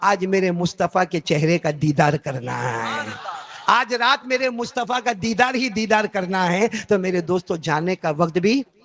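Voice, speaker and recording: A high-pitched man with an animated tone and lively intonation, dry and close with no echo, amid noticeable background noise. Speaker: Islamic preacher / Quran reciter. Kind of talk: religious sermon (bayan) to a live audience. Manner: animated, call-and-response with audience.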